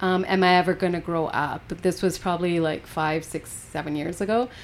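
Over background music, a woman with a Western Canadian accent talks at a fairly low pitch and a moderate pace with fairly even intonation. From Canada, British Columbia (Golden). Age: 40s. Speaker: poet. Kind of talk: casual chat. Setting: studio.

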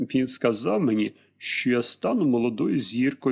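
This is plain reading aloud. Nothing more stands out.

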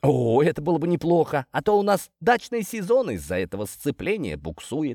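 A man puts on a character voice with a fairly high pitch, big pitch swings, and a dark, mellow tone carrying vocal fry and a slightly husky edge. He talks at a moderate pace in a dry, close sound with no echo, on a very clean recording with a silent background.

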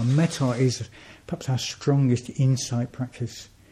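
A man speaks at a medium pitch in a dark, mellow, somewhat breathy tone. His delivery is fairly slow, with monotone, flat intonation. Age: 50s. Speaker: Buddhist order member being inaugurated as centre president. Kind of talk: personal talk to a community gathering. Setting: shrine room with audience.

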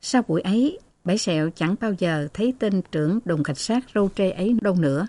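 Someone reads a text aloud. The delivery stays plain throughout.

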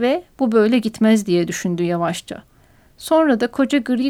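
Lively intonation from an unforced reading voice.

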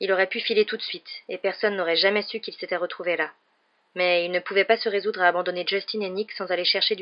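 The voice reads in a natural way. Intonation remains fairly even throughout.

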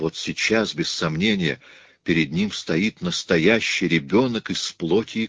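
The voice heard here is a natural reading voice.

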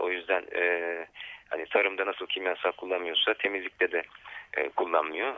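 Very deep and low in pitch, a man's voice moves at a moderate pace. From Turkish city. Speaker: ecological farming network coordinator. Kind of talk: radio interview. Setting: phone call. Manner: halting, many fillers.

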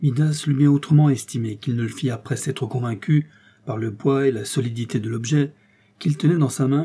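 This is a natural reading voice. It is heard here throughout.

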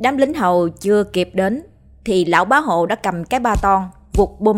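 Natural-voiced reading aloud with lively intonation

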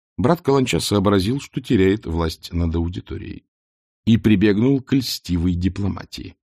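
Reading aloud in a natural voice with lively intonation against a quiet background

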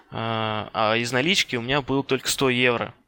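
Intonation remains fairly even throughout. A bright, sharp tone defines the voice. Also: man. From Russia, Ryazan. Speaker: network engineer. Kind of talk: interview.

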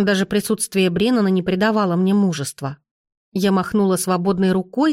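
This is a natural reading voice with fairly even intonation. The background is quiet.

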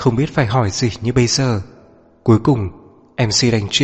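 A natural reading voice carries the passage.

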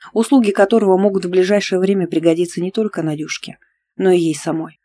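Against a quiet background, the text is read in a natural reading voice.

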